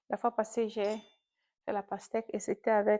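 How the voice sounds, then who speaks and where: A woman with a fairly high pitch and dark, mellow tone speaks fairly slowly in a flat monotone, the sound dry and close with no echo over a quiet background. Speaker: vlogger. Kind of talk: casual chat. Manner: mixes French with English.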